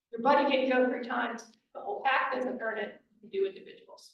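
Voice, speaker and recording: Audible room echo surrounds a woman speaking at a high pitch with ordinary pitch variation. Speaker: scouting volunteer trainer. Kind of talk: presentation to volunteers. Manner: fast.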